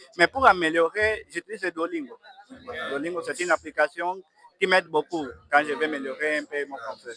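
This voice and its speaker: A fairly quick voice breaks off into long, frequent pauses, with lively intonation, big swings in loudness and a dry, close sound that has no echo. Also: man, high pitch for a man. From Angola. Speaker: student tech project presenter. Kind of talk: interview. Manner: halting.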